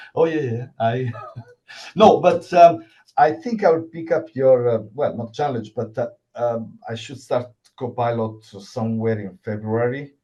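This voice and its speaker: A man with an Italian accent speaks at a fairly slow pace in a dark, mellow, somewhat breathy tone, with lively intonation and big swings in loudness. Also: medium pitch for a man. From Italy. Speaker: cybersecurity worker, event attendee. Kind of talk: Q&A question at online event. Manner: halting.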